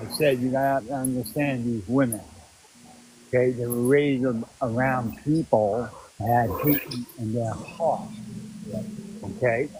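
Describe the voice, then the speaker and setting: A man speaks quietly and fairly slowly, with long, frequent pauses. His pitch varies in an ordinary way over noticeable background noise. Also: medium pitch for a man. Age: 60s. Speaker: caller. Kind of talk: casual chat.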